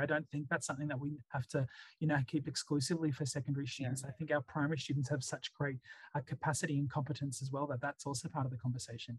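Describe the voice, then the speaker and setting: A man's fairly high, somewhat breathy voice with an Australian accent, very fast and fairly even in intonation, dry and close with no echo. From Sydney, Australia. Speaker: school principal. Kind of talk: interview. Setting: remote call. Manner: hesitant fillers.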